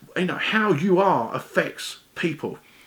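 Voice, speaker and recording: A man with an English accent. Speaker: weight-loss vlogger. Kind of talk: casual vlog monologue. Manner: fast when excited; stumbling over words.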